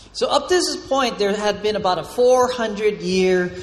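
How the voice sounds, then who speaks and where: A man with a high voice speaks at a very slow pace, his pitch swinging very widely, over noticeable background noise. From Hawaii (Oahu). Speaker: pastor. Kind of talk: sermon. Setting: church with congregation.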